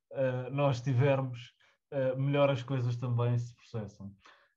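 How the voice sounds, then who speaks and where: A somewhat breathy man with a dark, mellow tone, monotone, flat intonation and a moderate pace. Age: young. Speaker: podcast host. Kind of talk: casual chat.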